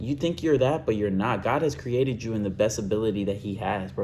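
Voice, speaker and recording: A man mumbles at a very fast pace with lively intonation. His somewhat breathy voice is dark and mellow in tone. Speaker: vlogger. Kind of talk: casual monologue vlog. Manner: rambling, self-described mumbling.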